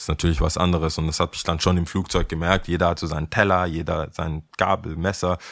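This man speaks at a very fast pace in a very deep, low pitch. His intonation is monotone and flat. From Ghana, then raised in Stuttgart. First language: Ghanaian language and English (speaking German). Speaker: skateboarder. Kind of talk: interview. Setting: in a taxi.

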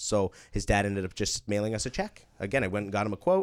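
Recorded very cleanly against a silent background, a man with a Canadian accent speaks in an unremarkable speaking voice at a fairly quick pace and fairly low pitch. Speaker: property management company owner. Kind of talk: casual interview.

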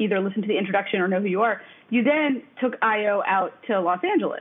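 A woman talks in a normal speaking voice at a fairly high pitch, with ordinary pitch variation and a fairly quick pace. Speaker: podcast host. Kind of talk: interview. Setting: video call.

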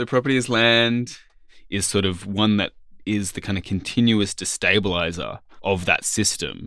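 A bright, sharp voice with an Australian accent at a moderate pace, on a very clean recording with a silent background. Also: man, fairly low pitch for a man. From Australia, Sydney and Alice Springs. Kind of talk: academic discussion.

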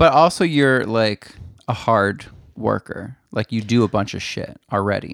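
A man speaks at medium pitch and a fairly slow pace, with ordinary pitch variation. It is a plain, everyday voice, and the sound is dry and close with no echo. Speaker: podcast co-host. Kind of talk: casual chat.

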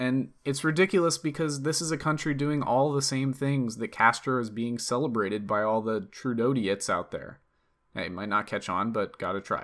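A man with an American accent uses a normal speaking voice at medium pitch. He talks at a fairly quick pace with ordinary pitch variation. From US East Coast. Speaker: political podcast host. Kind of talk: political commentary monologue; scripted opinion essay read aloud.

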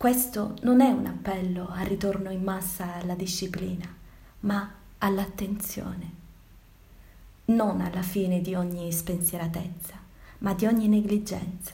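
A woman speaks at a very slow pace with long, frequent pauses. Her intonation is fairly even over noticeable background noise. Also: medium pitch for a woman. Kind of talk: dramatic monologue, Italian version of the virus text. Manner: solemn, theatrical, declamatory.

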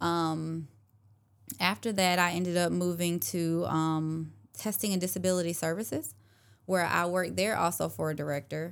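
A woman with a plain, everyday voice and an American accent, fairly low in pitch, at a moderate pace with fairly even intonation, in a very clean recording with a silent background. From South Carolina. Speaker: business owner, virtual administrative assistant. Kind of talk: casual interview. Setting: studio, in person.

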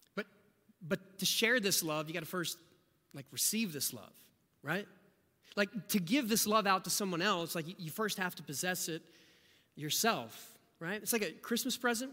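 A man's raised, projected voice with an American accent, high-pitched and bright, sharp in tone, with lively intonation and long, frequent pauses. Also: moderate pace. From rural southeast Ohio. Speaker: pastor. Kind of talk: sermon.

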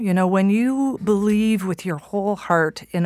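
A woman with a Canadian accent speaks in an unremarkable speaking voice at a moderate pace, her pitch varying in an ordinary way. The recording is very clean, with a silent background. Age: 50s. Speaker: journalist and author. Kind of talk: interview.

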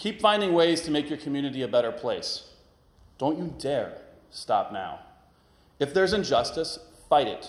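A man with an American accent and lively intonation at a moderate pace, with audible room echo. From northern Kentucky, US. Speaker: guest preacher, former politician. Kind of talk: sermon. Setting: church.

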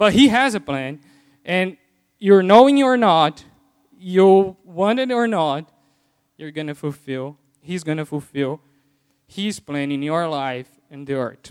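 In a Portuguese accent, the speech goes at a fairly slow pace with long, frequent pauses, very wide pitch swings and big swings in loudness. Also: man, high pitch for a man. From Brazil. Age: 30s. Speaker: lay preacher. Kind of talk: sermon. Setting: church. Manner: halting.

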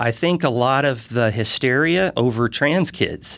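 A man with an American accent talks at a fairly slow pace, his medium pitch showing ordinary variation. The recording is very clean, with a silent background. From US South, Charleston, South Carolina. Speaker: city council candidate. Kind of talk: interview. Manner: filler-heavy, hesitant.

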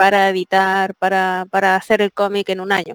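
This woman has a Chilean accent. Her voice sits at a medium pitch. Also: dry, close sound with no echo. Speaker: comic artist. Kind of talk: interview.

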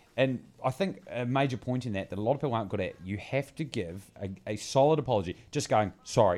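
This man talks at a fairly quick pace with hardly any pauses. His intonation is lively, and he speaks with a New Zealand accent. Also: medium pitch for a man. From Bluff, New Zealand. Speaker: podcast co-host. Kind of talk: casual comedic chat.

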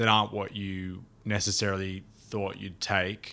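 A man's fairly low voice in an Australian accent, on a very clean recording with a silent background. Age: 30s. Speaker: touring drummer and podcast co-host. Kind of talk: casual chat. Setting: studio.

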